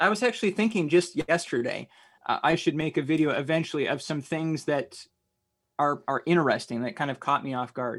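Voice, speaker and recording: Here is a normal speaking voice from a man with an American accent. His pitch is fairly high, his pace fairly quick and his intonation lively. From US Midwest, mainly Iowa. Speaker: Baptist college teacher and radio station manager. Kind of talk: casual theological discussion. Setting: remote call from a radio station office.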